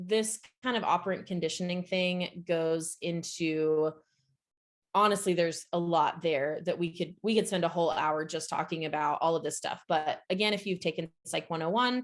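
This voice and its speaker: A woman speaks with a fairly low pitch. Her pitch varies in an ordinary way. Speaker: SEO agency CEO, webinar speaker. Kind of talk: webinar presentation. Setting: online webinar. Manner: fast; casual, filler-heavy.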